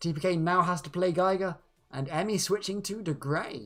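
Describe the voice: A woman puts on a character voice that is croaky and hoarse, with a fairly low pitch and a moderate pace.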